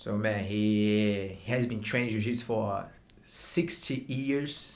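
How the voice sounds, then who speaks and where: Very slowly, a man speaks with a Brazilian accent and a fairly low pitch. His pitch varies in an ordinary way, and audible room echo surrounds him. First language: Portuguese. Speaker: martial arts instructor. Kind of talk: interview. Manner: halting.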